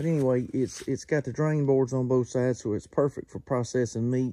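Dry with no echo, the recording captures a man speaking at a fairly quick pace with fairly even intonation. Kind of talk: casual vlog chat. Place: garden. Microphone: phone near.

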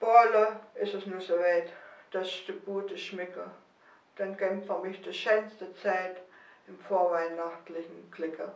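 A woman speaks very slowly in a Mansfeld accent, her intonation flat and monotone, her loudness swinging widely, with audible echo in the room. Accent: Mansfeld dialect, central German. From Germany, Mansfeld region (Saxony-Anhalt); Saxony-Anhalt. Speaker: dialect poet. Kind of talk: poetry reading. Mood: calm, warm festive. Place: home room.

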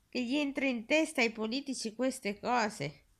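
A high-pitched woman at a moderate pace with ordinary pitch variation, over a quiet background. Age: 30s. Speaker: video blogger. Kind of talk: direct-to-camera appeal. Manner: halting. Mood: earnest, pleading. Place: home room. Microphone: phone near.

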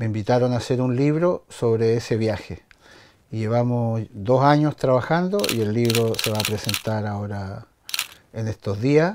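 The man's speech is fairly slow, and his pitch varies in an ordinary way. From France. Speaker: photographer. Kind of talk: personal storytelling. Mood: reflective, storytelling. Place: home room.

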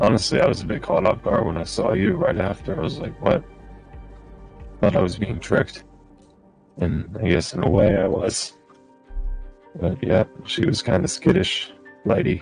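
A man does a put-on character voice, raspy and fairly low in pitch, at a moderate pace with long, frequent pauses. Faint music plays in the background. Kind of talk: in-character roleplay dialogue. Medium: machinima. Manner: measured, conversational. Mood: wry recollection.

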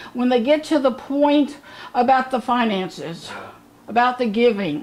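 At a fairly slow pace, a woman talks in a high pitch with ordinary pitch variation. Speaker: bible teacher. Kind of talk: sermon. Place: home room. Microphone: camera far.

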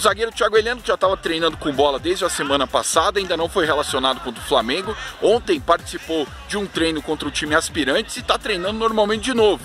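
Over clear music in the background, a man speaks in a raised, projected voice, with a dry sound and no echo. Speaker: sports reporter. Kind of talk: news report. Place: open country. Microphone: phone near.

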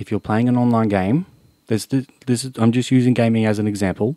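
The voice has an Australian accent, a dark, mellow tone and fairly even intonation at a fairly slow pace. It sounds dry with no echo over a quiet background. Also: man. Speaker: YouTuber. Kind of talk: vlog monologue. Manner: unscripted, earnest. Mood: serious, emotional, frustrated. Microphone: studio mic.

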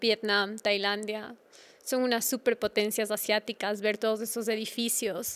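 Flat, monotone intonation accompanies a fairly slow delivery. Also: woman. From Ecuador. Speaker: travel blogger; podcast guest, travel blogger. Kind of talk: interview. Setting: studio. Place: studio. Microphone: studio mic.

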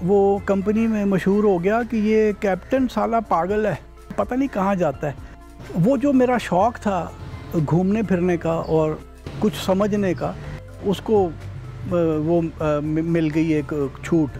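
Faint music plays in the background. The voice has ordinary pitch variation and a dry sound with no echo. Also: man, high pitch for a man. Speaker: interviewee. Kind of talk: interview answer, storytelling. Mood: amused, reminiscing. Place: garden.

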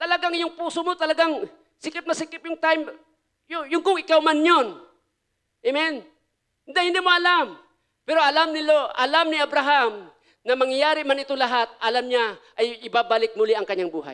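Against a quiet background, a man with an extremely high voice projects loudly at a fairly quick pace, his tone bright and sharp and his pitch varying in an ordinary way. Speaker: pastor. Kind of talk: sermon. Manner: animated. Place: church. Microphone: handheld.

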